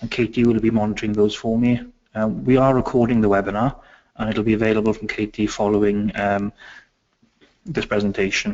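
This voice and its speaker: A man speaks fairly quickly with a Welsh accent. His pitch is medium and his intonation fairly even. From Wales. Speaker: education consultant. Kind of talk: webinar presentation. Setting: online webinar. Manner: hesitant, many fillers.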